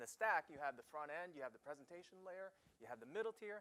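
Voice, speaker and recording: With an American accent, a man speaks in a bright, sharp tone and lively intonation. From New York. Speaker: software architect, guest speaker. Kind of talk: lecture. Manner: fast; animated.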